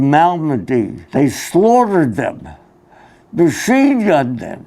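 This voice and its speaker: The speaker has a Philadelphia accent and talks at a fairly slow pace. The recording is very clean, with a silent background. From Philadelphia, US. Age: 90s. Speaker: war veteran. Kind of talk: talk to students. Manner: halting.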